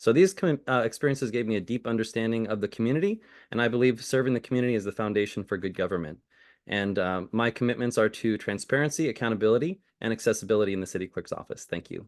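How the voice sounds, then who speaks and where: A man with an American accent, medium pitch, very fast delivery, and a quiet background. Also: ordinary pitch variation. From California, Bay Area. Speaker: political candidate. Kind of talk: candidate forum answer.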